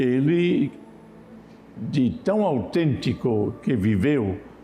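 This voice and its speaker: A medium-pitched male voice with a German accent and lively intonation, heard with audible room echo. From Germany. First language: German (speaking Portuguese). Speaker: Franciscan friar. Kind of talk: TV interview on religion.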